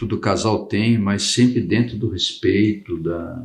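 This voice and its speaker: A man speaking at a very slow pace. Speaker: property registry officer. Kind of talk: interview. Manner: loud.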